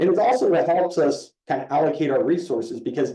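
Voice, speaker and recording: The man has a dark, mellow tone. He talks at a fairly quick pace. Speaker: police captain. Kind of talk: community meeting presentation. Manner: animated.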